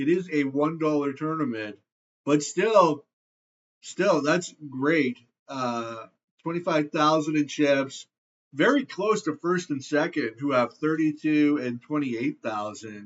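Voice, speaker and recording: A man with a Canadian accent uses a normal speaking voice, speaking at a fairly slow pace with a fairly high pitch and ordinary pitch variation. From Canada. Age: 40s. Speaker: poker player. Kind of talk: live gameplay commentary. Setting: screen recording.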